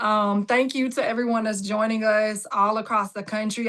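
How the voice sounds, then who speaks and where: Against a quiet background, a woman with a Southern US accent speaks in a bright, sharp tone. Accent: Southern drawl. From Jacksonville, Florida. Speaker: political candidate. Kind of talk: campaign speech. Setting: video call.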